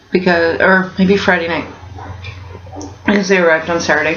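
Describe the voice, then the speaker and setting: With audible room echo and noticeable background noise, a woman speaks at a fairly low pitch with fairly even intonation. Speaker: vlogger. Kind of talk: casual vlog. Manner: hesitant, many fillers.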